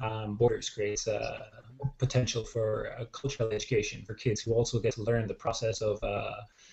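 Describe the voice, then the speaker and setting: Somewhat breathy, a man with a Dublin accent speaks at a medium pitch. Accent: Irish, Dublin. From Ireland, Dublin. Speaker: social entrepreneur and dance teacher. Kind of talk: online panel discussion. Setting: video call. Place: home room. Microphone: video call.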